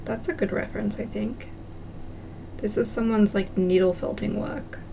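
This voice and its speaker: A woman talks in an Australian accent. Noticeable background noise and audible room echo surround her. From country Australia. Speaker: craft livestreamer. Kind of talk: casual livestream chat while crafting. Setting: live stream.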